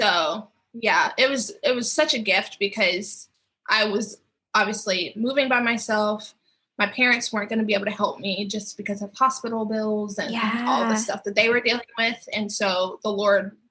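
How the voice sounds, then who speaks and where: The tone is bright and sharp, with fairly even intonation. The speaker has a Southern US accent. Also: woman, fairly high pitch for a woman, moderate pace. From Mississippi, US. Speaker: professional dancer. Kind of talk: interview answer.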